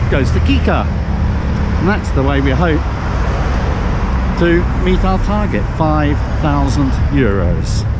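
Against loud background noise, a man talks fairly slowly with long, frequent pauses and ordinary pitch variation, in a dry sound with no echo. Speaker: sailor vlogger. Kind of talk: casual vlog chat. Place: street. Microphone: phone near.

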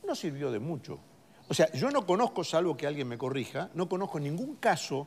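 A man with a high pitch talks at a fairly quick pace with very wide pitch swings. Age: 60s. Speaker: political commentator. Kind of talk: panel discussion. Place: studio. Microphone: lapel.

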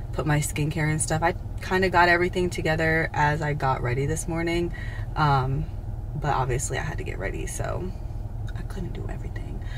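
A woman with a very deep, low pitch talks at a fairly quick pace with fairly even intonation. Noticeable background noise is present. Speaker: fitness trainer, vlogger. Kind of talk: casual vlog chat. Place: car. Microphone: phone near.

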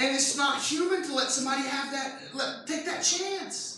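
In a room with strong echo, a man speaks at a moderate pace with an extremely high pitch and a bright, sharp tone. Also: ordinary pitch variation.

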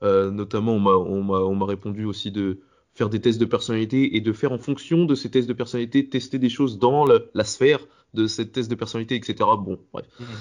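At a moderate pace, a man speaks in a plain, everyday voice of medium pitch with ordinary pitch variation. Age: 20s. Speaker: podcast host interviewing. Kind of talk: interview.

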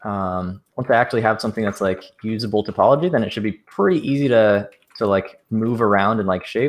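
A man with an unremarkable speaking voice, fairly low-pitched and fairly quick, against a quiet background. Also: ordinary pitch variation. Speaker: 3D artist. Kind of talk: casual chat while working. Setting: video call.

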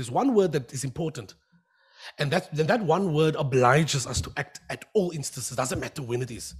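The voice is somewhat breathy, with lively intonation and a fairly quick pace. The background is quiet. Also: man. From Western Cape, South Africa. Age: young. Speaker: job interview candidate; candidate. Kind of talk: formal interview answers. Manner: formal. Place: hall. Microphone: podium.

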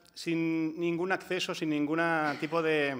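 At a moderate pace, a man with a Catalan accent speaks at a high pitch in a monotone, flat intonation. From Catalonia. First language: Catalan (speaking Spanish). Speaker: housing and energy rights activist; panelist. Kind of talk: conference panel talk. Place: hall. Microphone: podium.

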